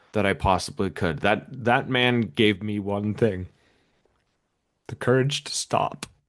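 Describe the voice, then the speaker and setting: Against a quiet background, a man has an ordinary speaking voice, a fairly low pitch and ordinary pitch variation as he talks at a fairly slow pace. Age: 40s. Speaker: podcast guest, recovering alcoholic and podcaster. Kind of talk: interview.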